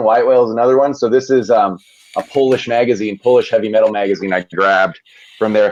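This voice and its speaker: The man's delivery moves along at a fairly brisk clip. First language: bilingual Spanish and English. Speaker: comics YouTuber. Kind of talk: casual chat. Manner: halting.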